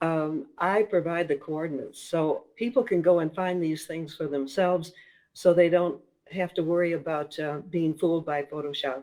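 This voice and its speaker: A woman speaks in a dark, mellow tone with an American accent. Her pitch is fairly low, with ordinary pitch variation. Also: moderate pace. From Minnesota, US Midwest. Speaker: author and paranormal investigator. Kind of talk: interview.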